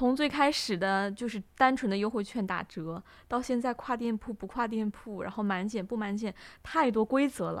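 In an ordinary speaking voice, a woman talks at a moderate pace with fairly high pitch and ordinary pitch variation, on a very clean recording with a silent background. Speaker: student podcast co-host. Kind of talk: casual chat.

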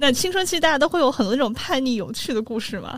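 This woman talks at a fairly quick pace. Vocal fry runs through her voice. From Sichuan, China. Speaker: podcast host. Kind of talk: casual chat.

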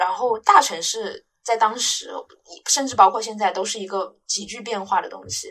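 The speaker is a woman. Her pace is moderate. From Guangdong, China. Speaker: podcast co-host, university student. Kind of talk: casual chat.

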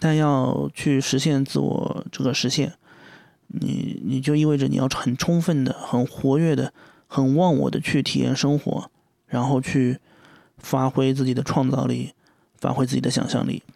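A man talks at a fairly slow pace and a medium pitch, keeping his loudness very even and his intonation fairly even. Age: 30s. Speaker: podcast host. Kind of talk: solo monologue. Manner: hesitant, many fillers; rambling, unstructured.

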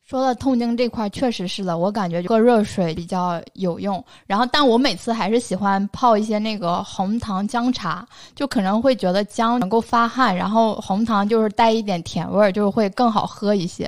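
An ordinary speaking voice moves at a moderate pace with hardly any pauses and ordinary pitch variation, in a very clean recording with a silent background. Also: woman, fairly high pitch for a woman. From northern China. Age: 20s. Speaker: podcast co-host. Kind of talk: casual chat.

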